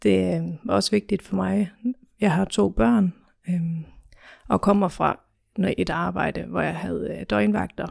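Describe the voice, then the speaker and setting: The speech comes at a very slow pace with long, frequent pauses. The recording is very clean, with a silent background. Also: woman. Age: 30s. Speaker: office trainee. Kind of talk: interview. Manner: hesitant, many fillers.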